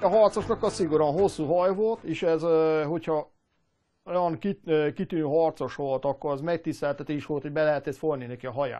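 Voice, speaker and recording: A man talks at a fairly high pitch. His pace is moderate and his pitch varies in an ordinary way. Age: 50s. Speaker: machinist and historical armor maker. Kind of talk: interview. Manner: halting.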